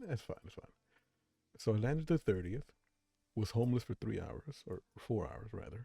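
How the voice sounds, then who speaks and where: A soft-spoken man with a dark, mellow tone and vocal fry talks at a moderate pace, with long, frequent pauses and big swings in loudness. The sound is dry and close, with no echo. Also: medium pitch for a man, lively intonation. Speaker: streamer. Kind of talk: casual chat. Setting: live stream.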